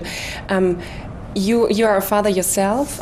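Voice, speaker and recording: A woman at a moderate pace, fairly even in intonation, with noticeable background noise. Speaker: journalist. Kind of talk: interview questions. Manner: hesitant.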